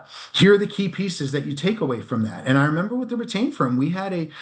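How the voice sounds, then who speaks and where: A man speaks with a high pitch. His voice moves in very wide pitch swings. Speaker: executive recruiter. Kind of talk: interview. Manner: fast.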